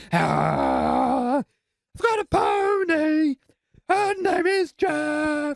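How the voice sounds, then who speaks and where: A put-on character voice with a high pitch drags along at a very slow pace. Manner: screamed, aggressive.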